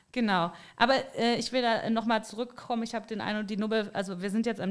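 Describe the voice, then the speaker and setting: Very fast, monotone speech from a woman with a fairly high voice and flat intonation. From Rhineland, Bergisches Land. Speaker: podcast host. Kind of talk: casual chat.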